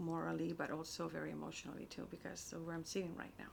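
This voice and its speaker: A woman talks in a Spanish accent. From Spain. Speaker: publishing operations director and writer. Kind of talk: interview. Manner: halting, many fillers and repetitions.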